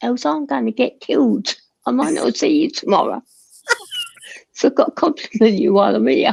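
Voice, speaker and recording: A put-on character voice, raspy and quiet, comes at a fairly quick pace with a fairly high pitch. Long, frequent pauses break it up. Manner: speaking very quietly.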